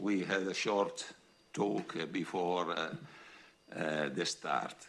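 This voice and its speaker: A man talks very slowly with an Italian accent. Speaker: foundation president and professor. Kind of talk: reading a prepared speech. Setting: podium at public event. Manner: halting.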